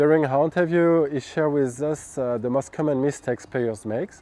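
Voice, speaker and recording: At a moderate pace, a man with a French accent speaks at a fairly high pitch with ordinary pitch variation. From France. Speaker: golf coach. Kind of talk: scripted narration; interview. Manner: halting.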